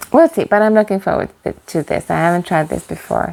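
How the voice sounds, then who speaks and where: There is noticeable background noise behind the speaker. She is a woman with a non-native accent. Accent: non-native English pronunciation. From Norway, west coast. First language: Norwegian. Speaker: knitting vlogger. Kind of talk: casual chat. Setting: cabin. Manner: halting.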